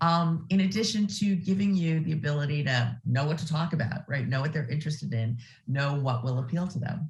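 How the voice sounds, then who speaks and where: A woman with a very deep, low pitch and a somewhat breathy voice speaks at a fairly quick pace with lively intonation and hardly any pauses. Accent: American. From US Midwest, Ohio. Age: 60s. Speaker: nonprofit executive. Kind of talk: interview.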